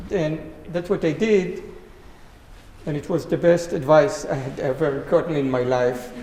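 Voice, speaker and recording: Over noticeable background noise, someone with an Israeli accent speaks at a fairly slow pace with ordinary pitch variation. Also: man. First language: Hebrew. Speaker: greenhouse grower. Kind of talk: panel talk.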